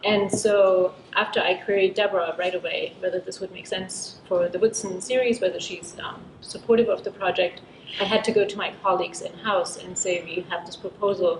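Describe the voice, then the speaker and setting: A woman with a German accent talks at a fairly quick pace over noticeable background noise. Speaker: book editor at a university press. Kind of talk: panel talk. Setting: symposium panel with audience.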